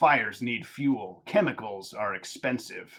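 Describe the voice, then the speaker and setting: At a fairly slow pace, a man uses a put-on character voice with a medium pitch. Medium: game stream. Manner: taunting, quick to anger.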